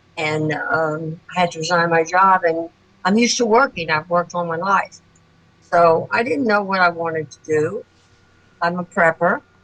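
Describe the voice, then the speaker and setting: Over noticeable background noise, a woman speaks with fairly low pitch and ordinary pitch variation. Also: moderate pace. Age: 80s+. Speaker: new sales consultant. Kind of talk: testimony. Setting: video call.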